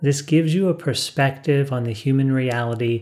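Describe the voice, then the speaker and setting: The background is quiet. A man speaks with fairly even intonation. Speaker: spiritual teacher. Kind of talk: calm spiritual talk to camera. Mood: calm, warm, smiling. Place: studio.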